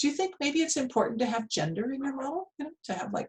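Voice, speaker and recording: A woman talks at a fairly quick pace. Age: 60s. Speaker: economics professor. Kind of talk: lecture Q&A. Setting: video call. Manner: halting with many fillers.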